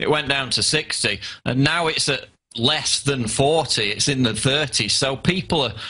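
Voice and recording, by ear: With a bright, sharp tone and a slightly husky edge, a man speaks with ordinary pitch variation. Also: medium pitch for a man, moderate pace.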